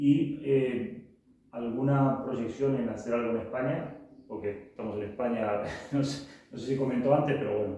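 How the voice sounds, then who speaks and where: In a Rioplatense accent, a man of medium pitch speaks at a moderate pace with ordinary pitch variation, with audible room echo and noticeable background noise. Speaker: interviewer. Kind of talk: interview.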